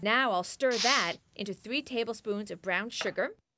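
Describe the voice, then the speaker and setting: A woman speaks with music in the background. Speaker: cooking show host. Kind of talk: tutorial. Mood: warm, friendly. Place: kitchen.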